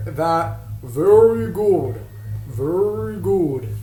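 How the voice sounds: Using a put-on character voice, a man at a medium pitch makes very wide pitch swings over clear background noise.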